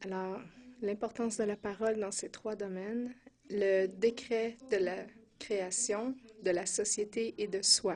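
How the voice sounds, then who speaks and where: Very slow and monotone, a woman speaks with a dark, mellow tone at a medium pitch, her intonation flat. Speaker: preacher. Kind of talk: sermon teaching. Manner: hesitant, with filler sounds.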